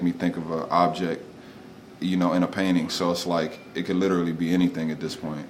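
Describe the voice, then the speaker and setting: A man speaks in a very deep, low pitch. His intonation is monotone and flat, and there is audible room echo. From Delaware, Wilmington. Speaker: artist and muralist. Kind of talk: casual interview. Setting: studio.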